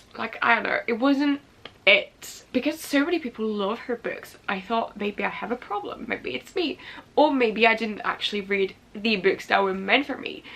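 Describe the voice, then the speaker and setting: A woman's fairly high voice at a moderate pace with ordinary pitch variation, amid noticeable background noise. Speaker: booktuber. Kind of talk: casual vlog talk. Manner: hesitant fillers.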